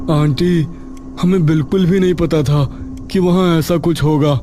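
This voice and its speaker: A man uses a put-on character voice at a fairly high pitch and moderate pace. His loudness stays very even over loud background noise. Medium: read story. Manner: nervous, stammering.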